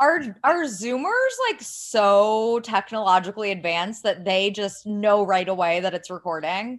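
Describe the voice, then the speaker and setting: A woman with a Californian accent at a medium pitch, fairly slow yet with hardly any pauses, and with ordinary pitch variation. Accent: general American, Californian-sounding. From US Midwest, Ohio. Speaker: writer and podcaster. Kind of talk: casual chat. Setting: remote recording without proper mic.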